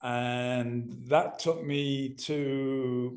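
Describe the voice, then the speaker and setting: A man with a fairly high pitch speaks in a monotone, flat intonation, with audible room echo around him. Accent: Manchester. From northern England (Manchester). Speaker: ex-professional footballer and podcast guest. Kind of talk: casual interview.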